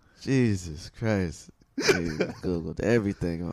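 A man's very deep, low voice at a fairly slow pace with ordinary pitch variation. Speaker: stand-up comedian, podcast guest; has his own show.

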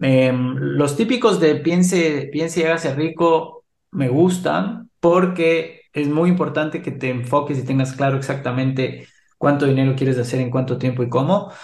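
A man speaks in a fairly high, somewhat breathy voice. His pace is fairly slow, and audible room echo surrounds him. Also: ordinary pitch variation. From Ecuador. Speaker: HR expert and entrepreneur. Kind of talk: interview.

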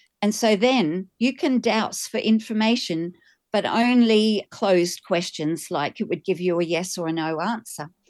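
Against a quiet background, a woman with an Australian accent speaks fairly slowly at a medium pitch with ordinary pitch variation. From Australia, Queensland. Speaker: pilgrim, energy healer. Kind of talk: interview.

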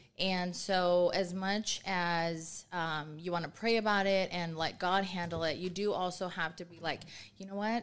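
On a very clean recording with a silent background, a woman uses a normal speaking voice with medium pitch and ordinary pitch variation. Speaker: nonprofit chapter president. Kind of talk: casual chat. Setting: studio.

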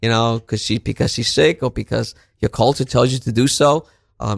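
A man with a New York accent, medium pitch, ordinary pitch variation and vocal fry, in a very clean recording with a silent background and a dry, close sound with no echo. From Brooklyn, New York. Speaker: counselor and teacher. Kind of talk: interview.

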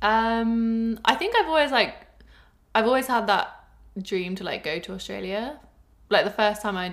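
A woman's fairly high voice with lively intonation, a moderate pace and a southern English accent. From England, Cornwall. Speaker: host's best friend. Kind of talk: casual chat.

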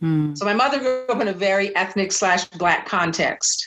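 With lively intonation and a medium pitch, a woman speaks at a moderate pace in an ordinary speaking voice. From US Pacific Northwest, Seattle. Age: 60s. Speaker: memoir author. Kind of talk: interview.

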